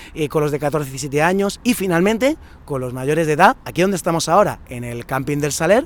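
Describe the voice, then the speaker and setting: Fairly quick speech comes from a man. His voice is fairly high, with ordinary pitch variation. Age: 30s. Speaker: summer camp coordinator. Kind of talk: casual video presentation. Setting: outdoors at a campsite. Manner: animated.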